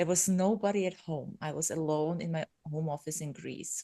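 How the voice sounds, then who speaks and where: A woman's dark, mellow voice with a non-native accent, fairly low in pitch with ordinary variation, against a quiet background. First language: not English. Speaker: podcaster, business coach. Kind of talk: casual interview chat.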